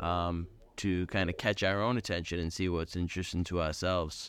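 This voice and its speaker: On a very clean recording with a silent background, a man speaks at a moderate pace with a very deep, low pitch and monotone, flat intonation. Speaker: creative industry professional. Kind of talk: casual chat. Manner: rambling, scattered.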